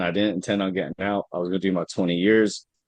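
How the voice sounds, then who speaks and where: With an American accent, a man talks at a fairly low pitch and with fairly even intonation. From Brooklyn, New York and Baltimore. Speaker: army veteran, veterans group co-founder. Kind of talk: personal testimony in a presentation. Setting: video call. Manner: halting, frequent fillers.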